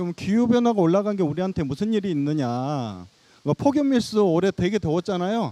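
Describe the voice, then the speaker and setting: This man's voice is high-pitched, with a dark, mellow tone and lively intonation. He talks at a fairly quick pace in a dry, close sound with no echo. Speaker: city water department director. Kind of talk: presentation talk. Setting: outdoor stage with audience.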